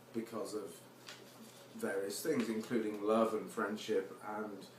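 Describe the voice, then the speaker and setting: A man speaks in a monotone, flat intonation at a fairly slow pace. Background noise is noticeable. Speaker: poet. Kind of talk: casual talk to audience between poems. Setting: live performance before audience.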